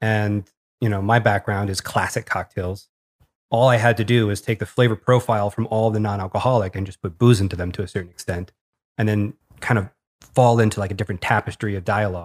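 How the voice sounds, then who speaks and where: A man at a fairly low pitch and a very fast pace, on a very clean recording with a silent background and a dry, close sound with no echo. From Arkansas. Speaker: bartender in hospitality. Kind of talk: casual chat.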